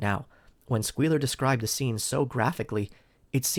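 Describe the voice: The pitch varies in an ordinary way. The delivery is plain reading aloud.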